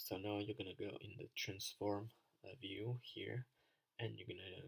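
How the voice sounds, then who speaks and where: With a non-native accent, the words come at a fairly slow pace. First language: not English. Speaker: design tutorial creator. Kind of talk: tutorial. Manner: halting, many fillers. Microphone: poor microphone, keyboard audible.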